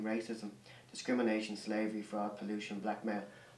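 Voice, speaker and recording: In an Irish accent, a man with fairly low pitch speaks in a flat monotone, with audible room echo and noticeable background noise. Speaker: artist. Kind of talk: interview. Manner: halting.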